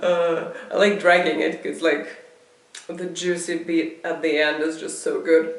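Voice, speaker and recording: A speaker with a non-native accent talks at a fairly slow pace. Audible room echo and noticeable background noise are present. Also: woman. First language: not English. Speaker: video blogger. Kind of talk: casual monologue. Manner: halting.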